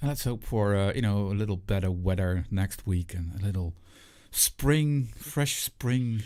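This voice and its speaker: A man's fairly low, dark and mellow voice with a non-native accent, fairly slow pace and ordinary pitch variation, on a very clean recording with a silent background. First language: not English. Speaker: vape show co-host. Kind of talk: casual chat.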